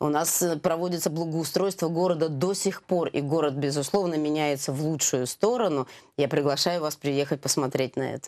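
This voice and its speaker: The background stays quiet. A woman's voice is very deep, with a low pitch. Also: ordinary pitch variation, moderate pace. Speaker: sports event organizer; guest. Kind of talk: TV interview. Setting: TV studio. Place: studio. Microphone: lapel.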